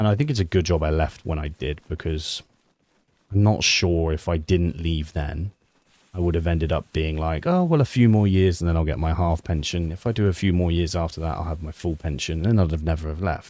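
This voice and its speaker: With a British accent, a man speaks at a fairly quick pace in a very deep, low voice with a dark, mellow tone and fairly even intonation, on a very clean recording with a silent background. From UK. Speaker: streamer and ex-army sniper. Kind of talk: live gameplay stream chat. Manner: casual, chatty.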